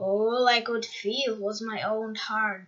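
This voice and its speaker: Bellowing in a put-on character voice, a woman speaks at a fairly high pitch. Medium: read story. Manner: roaring, bellowing.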